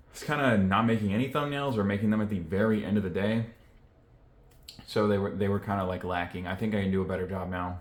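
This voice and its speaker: Over audible room echo, a man with a very deep, low pitch speaks at a fairly quick pace with fairly even intonation. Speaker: YouTuber vlogger. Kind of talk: casual vlog talk to camera. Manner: monotone; low-energy, reserved.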